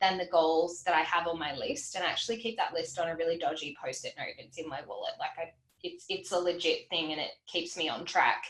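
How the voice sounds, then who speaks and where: There is noticeable background noise. Over it, a woman talks at a fairly quick pace. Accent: Australian. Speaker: financial educator. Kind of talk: livestream Q&A. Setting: livestream. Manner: fast; animated.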